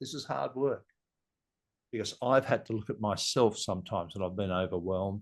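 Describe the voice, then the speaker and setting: Against a quiet background, a man with an Australian accent talks at a moderate pace with ordinary pitch variation. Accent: Australian, noticeable. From Sydney, Australia. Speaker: leadership guest. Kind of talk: podcast conversation. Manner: halting, many restarts.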